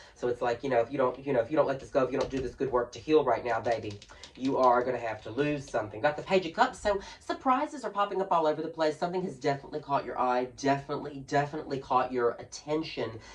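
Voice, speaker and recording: The speaker talks at a very fast pace over noticeable background noise. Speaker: drag queen tarot reader. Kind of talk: tarot reading to camera. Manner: playful, theatrical.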